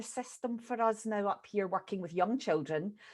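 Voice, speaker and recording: Over a quiet background, a woman speaks at medium pitch with ordinary pitch variation. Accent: Scottish. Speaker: early years educator. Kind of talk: group discussion.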